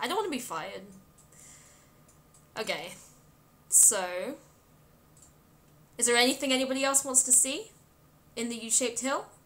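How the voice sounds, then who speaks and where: Speaking at a moderate pace with a British accent, a woman uses a bright, sharp tone, a high pitch and lively intonation, with long, frequent pauses. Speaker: game streamer. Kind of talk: live game stream commentary. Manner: casual, chatty.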